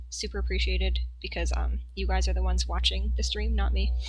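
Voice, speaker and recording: Noticeable background noise and audible room echo surround a woman with a very deep, low pitch. She speaks at a fairly quick pace in a monotone, flat intonation. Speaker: craft streamer. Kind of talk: casual livestream chat while building. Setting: home livestream with background music. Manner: casual, chatty.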